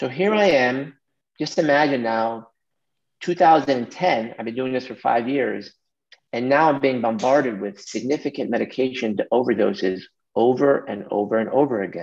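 A man talks in an ordinary speaking voice at a medium pitch and moderate pace. His intonation is lively, and the background is quiet. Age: 40s. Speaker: pediatric emergency physician. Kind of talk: lecture. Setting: video call. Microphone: video call.

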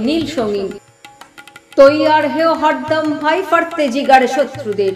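With music playing in the background, a woman speaks with ordinary pitch variation. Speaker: poetry reciter. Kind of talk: poetry reading. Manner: rousing, martial.

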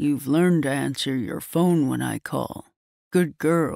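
A put-on character voice with a low-to-middle pitch delivers the words at a fairly slow pace.

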